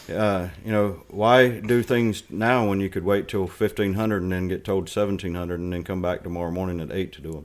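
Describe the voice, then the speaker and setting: Talking at a fairly quick pace with hardly any pauses, a man with a North Carolina accent has a very deep, low pitch and fairly even intonation. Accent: North Carolina Southern. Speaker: retired Marine and school board candidate. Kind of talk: interview.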